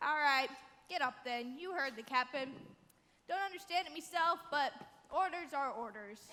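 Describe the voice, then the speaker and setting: This is a put-on character voice at a high pitch. It has long, frequent pauses. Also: moderate pace. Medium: stage play. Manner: dim, folksy.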